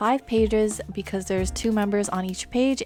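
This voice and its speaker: Music plays in the background as a soft-spoken woman talks. Her pitch is medium, her pace moderate, and her pitch variation ordinary. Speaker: photocard collector. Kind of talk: casual talk to camera.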